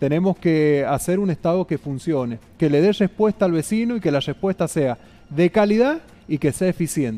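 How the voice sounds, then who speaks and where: A high-pitched man with a dark, mellow tone talks at a moderate pace with lively intonation. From Argentina, San Juan (Rawson); Argentina. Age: 30s. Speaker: mayoral candidate; candidate. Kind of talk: interview. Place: studio. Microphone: headset.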